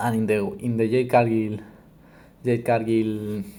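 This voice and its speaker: The voice has a dark, mellow tone and a Spanish accent. It moves at a moderate pace. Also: man. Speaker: wrestling commentator youtuber. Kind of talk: casual commentary monologue. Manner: halting, many fillers and restarts.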